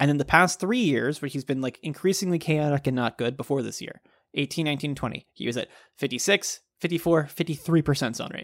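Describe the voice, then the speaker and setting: A normal speaking voice: a man with an American accent speaks at a fairly quick pace in a fairly high pitch with ordinary pitch variation, on a very clean recording with a silent background and a dry, close sound with no echo. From Texas. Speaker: baseball podcast co-host. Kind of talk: casual chat.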